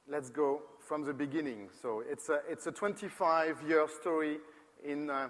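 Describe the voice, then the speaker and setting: With a French accent, a man speaks fairly slowly at a fairly high pitch, his pitch varying in an ordinary way. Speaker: company co-founder, design presenter. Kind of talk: conference presentation. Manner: halting, with many repetitions and fillers.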